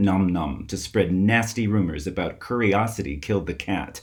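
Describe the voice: At a fairly slow pace, a man speaks with a low pitch.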